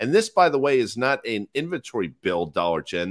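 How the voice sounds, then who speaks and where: In an animated tone with vocal fry, a man speaks at a moderate pace and medium pitch, with a dry, close sound with no echo on a very clean recording with a silent background. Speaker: market commentator. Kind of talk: casual chat. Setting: hotel room in Nashville. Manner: joking, animated.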